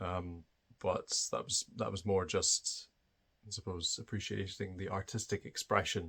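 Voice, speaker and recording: A man's very deep, low voice in a Scottish accent, monotone and flat, on a very clean recording with a silent background. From Scotland. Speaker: spiritual video creator. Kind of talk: personal monologue. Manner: hesitant, many fillers.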